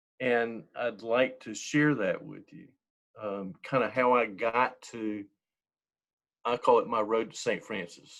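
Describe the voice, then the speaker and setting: Speaking at a very slow pace, a man with an American accent makes big swings in loudness. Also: medium pitch for a man, fairly even intonation. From eastern North Carolina. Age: 60s. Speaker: church member. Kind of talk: interview. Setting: video call.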